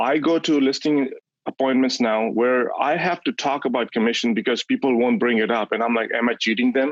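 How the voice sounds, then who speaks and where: A man with a non-native accent speaks fairly quickly at a medium pitch. His loudness stays very even, and his pitch varies in an ordinary way. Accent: foreign. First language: not English (English is his third language). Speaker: real estate agent, coaching client. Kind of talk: testimony on a coaching call. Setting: group coaching call. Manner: halting, with false starts.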